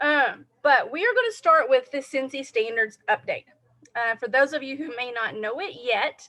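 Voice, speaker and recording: A woman projects a raised voice at a high pitch with a bright, sharp tone. Her pitch varies in an ordinary way, and her pace is moderate. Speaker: direct sales team leader. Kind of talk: live training talk. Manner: casual, filler-heavy.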